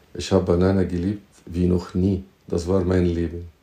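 A man's very deep, low voice with an Arabic accent, dark and mellow in tone, somewhat breathy, at a very slow pace. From Egypt. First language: Arabic (speaking German). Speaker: teacher and entrepreneur. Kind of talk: interview. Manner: halting, with repetitions. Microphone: poor audio quality.

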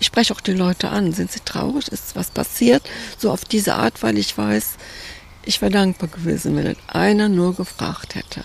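Pitch swings very widely at a moderate pace, with noticeable background noise throughout. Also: woman, medium pitch for a woman. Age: 80s+. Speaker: volunteer hospice grief counselor. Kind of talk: interview.

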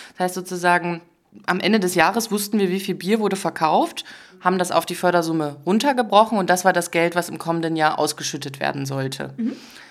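At a fairly quick pace, a woman with a plain, everyday voice speaks in a fairly low pitch with ordinary pitch variation. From Dresden, Saxony, eastern Germany. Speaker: social business representative. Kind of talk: interview. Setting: in person studio.

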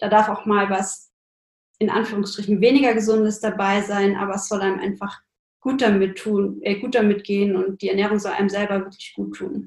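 A woman's medium-pitched voice in monotone, flat intonation at a moderate pace. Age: 20s. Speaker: nutrition science student and blogger. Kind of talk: casual interview.

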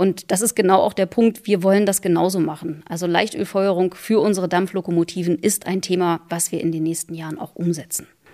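Talking at a fairly quick pace with hardly any pauses, a woman has a medium pitch and a dark, mellow tone. Her intonation stays fairly even. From Saxony-Anhalt, Harz region. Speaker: railway company managing director. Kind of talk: interview. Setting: town hall.

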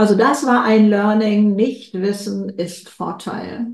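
There is audible room echo and noticeable background noise. A woman speaks at a medium pitch. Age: 70s. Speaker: author and keynote speaker. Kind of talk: interview. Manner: energetic.

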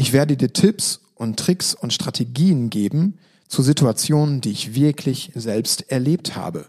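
At a fairly slow pace, a man with a medium pitch uses lively intonation, recorded with a dry, close sound and no echo. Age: 30s. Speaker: educational trainer and podcast host. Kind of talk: podcast monologue. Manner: plain conversational.

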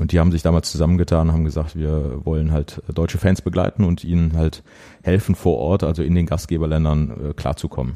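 A man speaks fairly quickly in a very deep, low voice. His tone is dark and mellow, with fairly even intonation. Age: 40s. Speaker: journalist and football fan activist. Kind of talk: interview conversation. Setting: at the guest's place.

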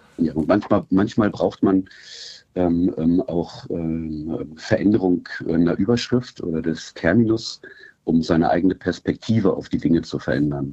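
A man with a very deep, low pitch and a dark, mellow tone speaks at a fairly slow pace with ordinary pitch variation. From Germany, Wolfsburg (Lower Saxony). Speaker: football club fan liaison. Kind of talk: interview. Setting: remote call. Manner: halting, many fillers.

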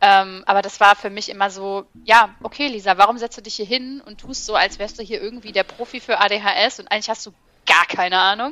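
A woman speaks at a moderate pace at medium pitch. Her unremarkable speaking voice keeps a fairly even intonation. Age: 30s. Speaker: ADHD content creator. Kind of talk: casual chat.

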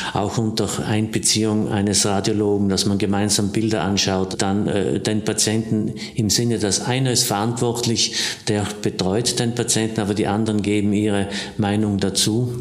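A man with a fairly low pitch talks at a moderate pace in a monotone, flat intonation, his loudness very even. Audible room echo and noticeable background noise fill the recording. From South Tyrol, Passeier valley. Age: 60s. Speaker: surgeon. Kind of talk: interview.

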